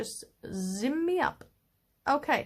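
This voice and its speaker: On a very clean recording with a silent background, a woman speaks at a high pitch. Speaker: spiritual teacher. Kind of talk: tutorial. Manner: slow; halting.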